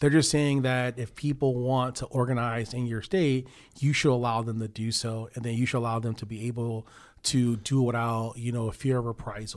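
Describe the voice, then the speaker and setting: A man with an American accent speaks in an unremarkable speaking voice at a moderate pace, his medium pitch and fairly even intonation captured on a very clean recording with a silent background. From Chicago. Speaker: union official. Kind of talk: interview.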